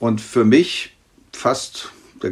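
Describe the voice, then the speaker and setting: A man talks at a medium pitch, and the background is quiet. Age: 50s. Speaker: pediatric trauma surgeon. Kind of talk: expert interview. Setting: remote internet recording.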